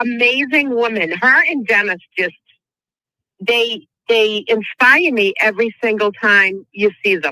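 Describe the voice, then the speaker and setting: At a fairly slow pace, a woman with a fairly high pitch speaks in a bright, sharp tone with ordinary pitch variation. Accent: American. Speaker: caller. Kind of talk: casual chat.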